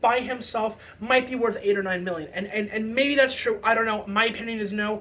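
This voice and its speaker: The talking proceeds at a moderate pace, and noticeable background noise can be heard throughout. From Canada. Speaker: hockey fan commentator. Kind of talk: casual opinion monologue. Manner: halting, many fillers and repetitions.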